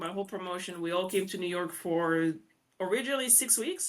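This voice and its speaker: A woman with a French accent speaks in a bright, sharp tone. The recording is very clean, with a silent background. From France. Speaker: real estate investor. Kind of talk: interview.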